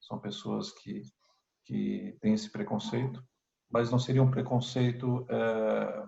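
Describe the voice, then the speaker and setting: This man has a Brazilian accent. He talks at a very slow pace. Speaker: member of parliament. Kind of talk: interview. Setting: video call. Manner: halting, many repetitions and fillers.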